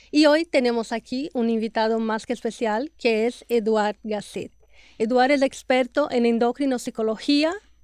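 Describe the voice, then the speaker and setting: Against a quiet background, a woman speaks fairly slowly at a fairly high pitch with fairly even intonation, the sound dry and close with no echo. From Brazil. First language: Portuguese (speaking Spanish). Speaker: podcast host, health and nutrition professional. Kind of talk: interview podcast.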